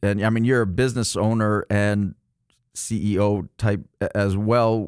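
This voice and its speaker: An unremarkable speaking voice moves at a fairly slow pace in a very clean recording with a silent background and a dry, close sound with no echo. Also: man. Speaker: podcast co-host. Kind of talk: interview, casual conversation.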